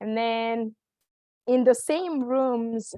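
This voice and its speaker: Pitched fairly high, a woman talks with a non-native accent. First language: not English. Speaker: nonprofit professional. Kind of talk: panel talk. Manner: halting, many fillers.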